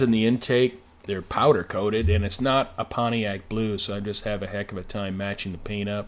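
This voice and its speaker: Delivered at a fairly quick pace, this is an ordinary speaking voice with ordinary pitch variation. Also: man. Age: 60s. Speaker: car restoration hobbyist. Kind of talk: video narration. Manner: casual, many fillers.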